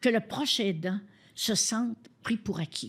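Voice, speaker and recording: A somewhat breathy voice speaks at a very slow pace. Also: woman. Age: 80s+. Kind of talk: interview answer.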